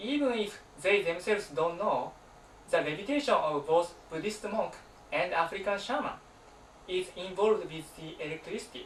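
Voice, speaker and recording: Amid noticeable background noise, a man with a Japanese accent and high pitch speaks at a moderate pace with lively intonation and long, frequent pauses. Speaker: alternative science researcher and author. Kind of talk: presentation.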